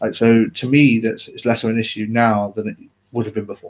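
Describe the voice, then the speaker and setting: In an English accent, a man talks at a fairly quick pace. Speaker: vlogger. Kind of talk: personal live video talk. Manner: mumbling, halting; uneven volume, sometimes loud.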